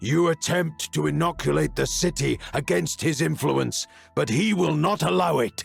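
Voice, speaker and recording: A man's bellowing, booming put-on character voice at a moderate pace and very even loudness, with faint music in the background. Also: fairly high pitch for a man. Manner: booming, bellowing, menacing.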